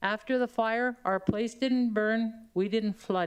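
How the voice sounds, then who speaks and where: A woman's fairly high pitch, fairly slow pace and fairly even intonation. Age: 60s. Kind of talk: public testimony at council meeting.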